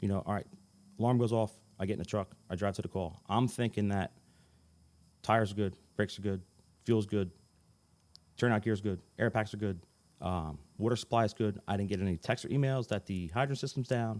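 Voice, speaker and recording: A man with a New Jersey accent speaks in a calm tone at a fairly quick pace, his fairly low voice showing ordinary pitch variation and broken by long, frequent pauses. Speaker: fire chief. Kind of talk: podcast interview. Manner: calm, rarely raises voice.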